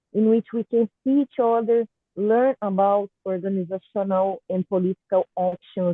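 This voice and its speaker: The speaker is a woman with a Portuguese accent. She talks at a fairly slow pace. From Brazil, Goiás. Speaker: artist and cultural producer. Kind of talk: prepared talk read aloud. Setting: online video call. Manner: halting.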